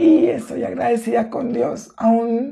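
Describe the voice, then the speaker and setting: Speaking at a very slow pace, a woman uses a fairly high pitch with vocal fry. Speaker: church member giving testimony. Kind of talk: testimony.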